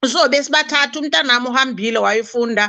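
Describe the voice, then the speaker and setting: A fairly quick woman's voice with a Zulu accent, high in pitch, bright and sharp in tone, with ordinary pitch variation. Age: 60s. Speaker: guest. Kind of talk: live-stream chat.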